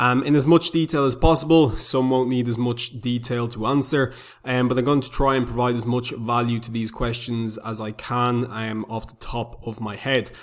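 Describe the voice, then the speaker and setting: An Irish-accented man talks at a medium pitch with fairly even intonation and big swings in loudness. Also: moderate pace. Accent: Irish, noticeable. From Republic of Ireland. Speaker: forex trader, YouTuber. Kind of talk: tutorial. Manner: frequent filler words (um).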